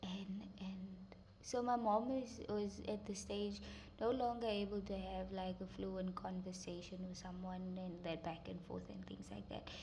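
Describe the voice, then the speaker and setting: The speaker talks at a fairly slow pace. Noticeable background noise runs under the voice. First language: Afrikaans. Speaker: vlogger. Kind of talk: personal story vlog. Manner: halting, many fillers.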